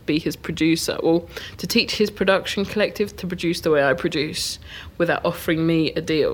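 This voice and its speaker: In a southern English accent, a woman with a fairly low pitch speaks at a fairly quick pace with fairly even intonation. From Hertfordshire, England. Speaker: DJ and music producer. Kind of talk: interview.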